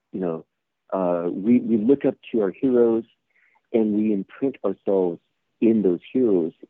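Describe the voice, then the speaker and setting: A man with an American accent speaks at a fairly low pitch, with ordinary pitch variation. His pace is fairly slow, and long, frequent pauses break up his speech. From California, San Jose east side. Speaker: actor and martial artist. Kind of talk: interview. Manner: halting.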